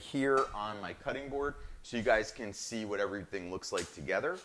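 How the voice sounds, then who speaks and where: At a moderate pace, a man with an American accent talks in a medium pitch with ordinary pitch variation. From northern New Jersey. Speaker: chef, cooking show host. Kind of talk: live cooking show demonstration. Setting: live streamed cooking show. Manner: animated, enthusiastic.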